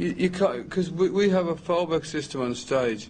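A man talks at a moderate pace with ordinary pitch variation. Light background noise can be heard. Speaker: interviewee. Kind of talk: interview answer. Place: hall.

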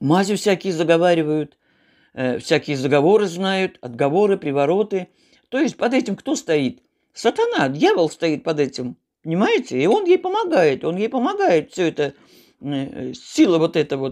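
Over a quiet background, a woman speaks at a moderate pace and fairly low pitch with very wide pitch swings. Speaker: home vlogger. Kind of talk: casual vlog chat on religion, preachy. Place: home room. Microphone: phone near.

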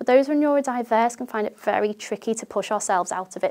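The background stays quiet. A woman talks in a British accent. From UK. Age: 30s. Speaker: teacher sharing lived experience. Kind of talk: first-person talk to camera. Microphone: lapel.

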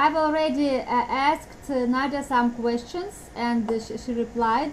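A woman speaks at a moderate pace with a high pitch and ordinary pitch variation. Light background noise can be heard. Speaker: dating agency host. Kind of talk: interview questions. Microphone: video call.

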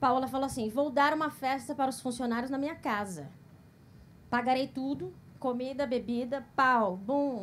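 Over light background noise, a woman with a high pitch speaks at a moderate pace. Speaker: stand-up comedian. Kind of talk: stand-up comedy set. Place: stage. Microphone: handheld.

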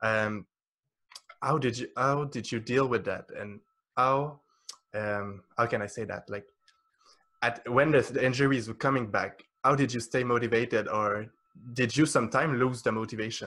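A man with a French accent speaks at medium pitch and a moderate pace, his bright, sharp tone set to fairly even intonation and broken by long, frequent pauses. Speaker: podcast host. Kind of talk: interview conversation. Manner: halting. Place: home room. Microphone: studio mic.

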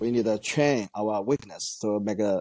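With a Chinese accent, a man speaks in a dark, mellow tone with ordinary pitch variation and a dry sound with no echo. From China. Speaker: weightlifting coach and former Olympian; weightlifting coach guest. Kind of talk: interview. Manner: halting, with frequent fillers. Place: home room. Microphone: earbuds.

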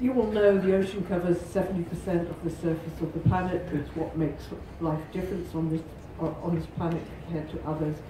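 A woman's fairly low-pitched voice at a moderate pace, with fairly even intonation, audible room echo and light background noise. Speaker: presenter. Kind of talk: conference presentation. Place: hall.

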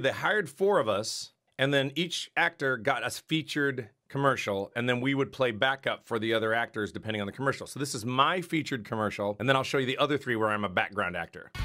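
Lively intonation and a bright, sharp tone mark this man's very fast speech. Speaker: streamer. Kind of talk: casual vlog chat. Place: home room.

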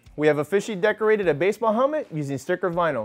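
A man talks at a very fast pace over faint music in the background. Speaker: product demo host. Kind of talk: tutorial. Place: studio. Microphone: lapel.

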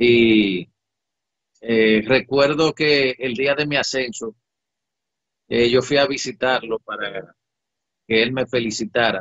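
A man speaks at a very slow pace with long, frequent pauses and fairly even intonation, recorded with a dry sound with no echo against a quiet background. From Dominican Republic. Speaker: air force commander. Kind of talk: interview. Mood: reflective, emotional personal memories. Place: office. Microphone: webcam.

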